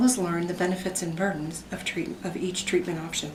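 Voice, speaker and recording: A woman with a medium pitch sounds somewhat breathy, with audible room echo around her. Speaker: student presenter, emergency room healthcare worker. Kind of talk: class presentation.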